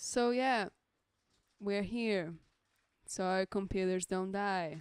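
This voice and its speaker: A woman with a Portuguese accent speaks very slowly at a medium pitch with ordinary pitch variation. The sound is dry and close with no echo, a very clean recording on a silent background. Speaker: streamer drawing live commissions. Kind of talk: casual live stream chat. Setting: friend's home studio, live stream. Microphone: mic very close, bumping mouth.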